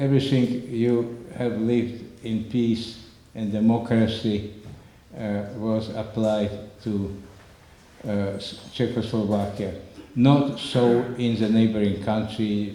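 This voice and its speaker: A medium-pitched man speaks at a very slow pace in a monotone, flat intonation, with long, frequent pauses and audible room echo. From Slovakia, northern mountains. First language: Slovak. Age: 90s. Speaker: Holocaust survivor speaker. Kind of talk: public talk with slides. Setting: community center with audience. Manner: halting.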